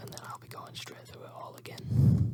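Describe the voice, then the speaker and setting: Whispered words come at a fairly slow pace through noticeable background noise. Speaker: ASMR YouTuber and streamer. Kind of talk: ASMR whispered chat. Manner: whispering.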